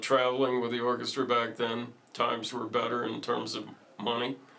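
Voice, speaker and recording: Over noticeable background noise, a man speaks at a medium pitch and a moderate pace. His intonation is flat and monotone. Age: 60s. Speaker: retiring orchestra teacher. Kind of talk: interview.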